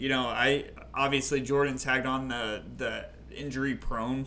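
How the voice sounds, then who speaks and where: A man at medium pitch, with audible room echo. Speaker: fantasy baseball podcast co-host. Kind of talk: casual chat.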